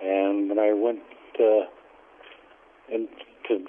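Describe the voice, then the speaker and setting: The speaker is a man with a fairly low pitch and an upstate New York accent. He talks at a moderate pace. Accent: upstate New York American. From upstate New York (Syracuse, Schenectady). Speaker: Navy veteran. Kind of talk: oral history interview. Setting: phone call. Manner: halting, many fillers.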